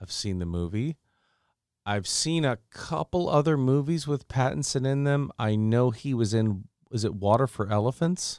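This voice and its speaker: An unremarkable speaking voice with lively intonation moves at a moderate pace, recorded dry and close with no echo against a very clean, silent background. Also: man, medium pitch for a man. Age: 30s. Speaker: podcast host. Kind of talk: casual chat.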